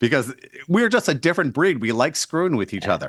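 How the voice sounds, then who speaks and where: Captured in a very clean recording with a silent background and a dry, close sound with no echo, a man's voice moves through very wide pitch swings. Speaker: interview host. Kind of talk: interview questions.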